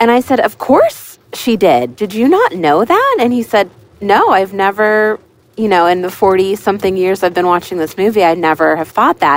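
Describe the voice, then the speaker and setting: In a normal speaking voice, a woman talks at a moderate pace and medium pitch with lively intonation. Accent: American. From Pittsburgh, Pennsylvania. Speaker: listener leaving voicemail. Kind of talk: voicemail message.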